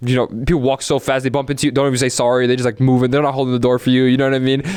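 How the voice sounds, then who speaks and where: A man with an American accent speaks at a very fast pace in a flat monotone. Noticeable background noise runs underneath. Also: medium pitch for a man, very even loudness. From New Jersey. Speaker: esports pro player. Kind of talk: interview. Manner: casual, filler-heavy speech.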